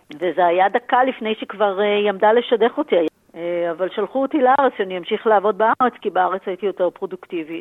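Very fast talking from a woman at a medium pitch. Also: ordinary pitch variation. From Israel, Tel Aviv. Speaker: business professor and author. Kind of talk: interview.

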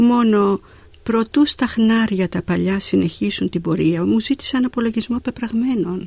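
In a dry, close recording with no echo, a woman with a fairly high pitch speaks at a fairly slow pace, somewhat breathy, with ordinary pitch variation. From Greece, Zakynthos. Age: 80s+. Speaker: poet. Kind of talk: poetry reading. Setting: studio.

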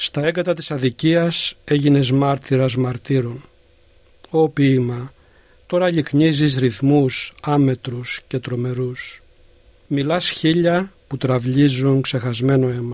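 Very slow speech from a man, fairly high in pitch, the intonation fairly even. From Greece, Peloponnese (Gastouni, Elis). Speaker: poet and philosophy lecturer. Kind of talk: poetry reading. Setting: studio.

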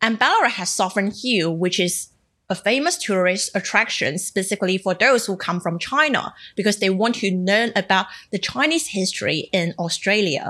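A woman's bright, sharp voice of medium pitch, moderate in pace with ordinary pitch variation, in a Cantonese accent against a quiet background. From Macau. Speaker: journalist and podcast co-host. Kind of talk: casual podcast chat. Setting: remote recording.

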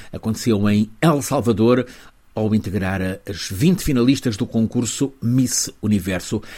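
At a fairly slow pace, a man speaks in a medium pitch. It is a plain, everyday voice. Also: ordinary pitch variation. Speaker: correspondent. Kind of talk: news report.

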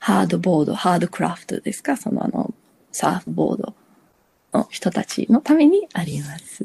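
A woman's dark, mellow tone comes through with vocal fry in a dry, close sound with no echo. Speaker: lifesaver. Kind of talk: interview.

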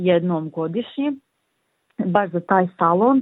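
Using an ordinary speaking voice, a woman speaks fairly slowly at a medium pitch. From Bosnia and Herzegovina, Livno. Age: 20s. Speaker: painter. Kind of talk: interview.

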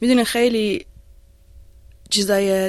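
In a very clean recording with a silent background, a woman speaks at a fairly slow pace with monotone, flat intonation. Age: 20s. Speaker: PhD student. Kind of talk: personal testimony in interview.

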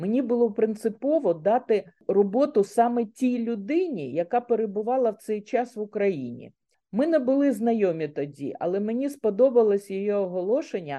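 Fairly high female voice at a moderate pace, with lively intonation, an ordinary speaking voice. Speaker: author, retired banker. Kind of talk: radio interview.

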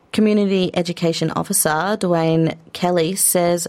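In an Australian accent, a woman speaks at a moderate pace with a fairly low pitch and fairly even intonation. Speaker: radio host. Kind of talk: news reading. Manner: formal.

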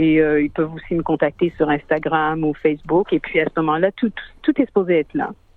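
A woman's very deep, low voice with fairly even intonation and hardly any pauses. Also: fairly quick pace. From Quebec, Montreal. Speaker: singer. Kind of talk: radio interview. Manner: hesitant, with fillers.

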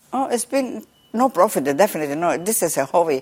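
Someone talks at a very fast pace with a Spanish accent. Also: woman. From southern Chile. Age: 80s+. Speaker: umbrella maker. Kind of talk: interview. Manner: halting.

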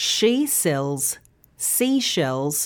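A woman with an Australian accent, very slow pace and very wide pitch swings, on a very clean recording with a silent background. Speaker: news presenter and pronunciation teacher. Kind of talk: scripted tutorial. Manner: clear, careful enunciation.

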